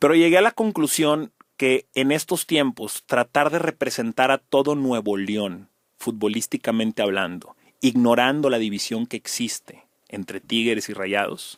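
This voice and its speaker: A man with a Monterrey accent and medium pitch talks at a fairly slow pace with lively intonation, in a dry, close sound with no echo on a very clean recording with a silent background. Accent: Monterrey (regio). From Mexico, Monterrey. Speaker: sports journalist. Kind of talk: casual chat. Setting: podcast studio. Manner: animated.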